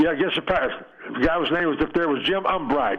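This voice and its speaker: A man rattles along very fast, his pitch moving in an ordinary way, while noticeable noise sits in the background. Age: 80s+. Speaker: retired baseball player. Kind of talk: phone interview. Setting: phone call.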